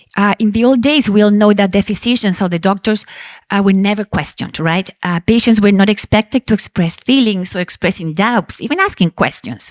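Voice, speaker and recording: A woman with a Spanish accent speaks at a fairly quick pace and a medium pitch with ordinary pitch variation, on a very clean recording with a silent background and a dry, close sound with no echo. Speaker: panel chair, mother of childhood cancer survivor. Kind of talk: panel moderation at congress.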